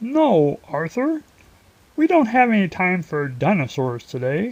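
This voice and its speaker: This put-on character voice sits at a middle pitch and moves at a fairly slow pace, with very wide pitch swings. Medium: read story. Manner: firm, brisk.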